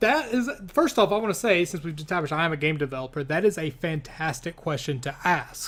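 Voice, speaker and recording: A man with a high pitch and a slight Kentucky accent talks at a fairly quick pace. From US, Kentucky. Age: 30s. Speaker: gaming YouTuber and game developer. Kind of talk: casual Q&A chat.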